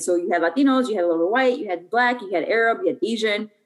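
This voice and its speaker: Talking at a very fast pace, a woman with a Chicago accent uses lively intonation and a fairly high pitch. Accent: Chicago American English. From US Midwest, Chicago. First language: Spanish. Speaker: soccer club co-owner. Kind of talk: interview conversation.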